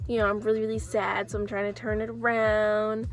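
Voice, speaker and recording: Music plays behind the speaker. She is a woman with an American accent. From Oakland, California (Bay Area). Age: 20s. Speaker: vlogger. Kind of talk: casual monologue vlog. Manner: hesitant, many fillers.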